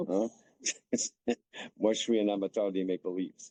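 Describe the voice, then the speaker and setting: A man speaks at a very slow pace. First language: English (speaking French). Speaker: hockey player's father. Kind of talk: interview.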